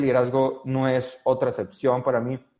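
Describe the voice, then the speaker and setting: A dark, mellow tone carries speech delivered at a moderate pace. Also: man. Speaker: network marketing leader. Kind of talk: interview.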